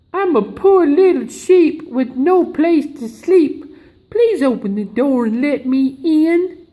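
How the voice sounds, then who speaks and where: A put-on character voice comes through at a high pitch and a fairly slow pace. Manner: coaxing.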